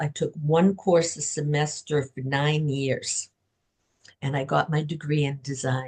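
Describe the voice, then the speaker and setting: Pitched very deep and low, a woman speaks somewhat breathily with fairly even intonation. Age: 70s. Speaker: author. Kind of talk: podcast interview.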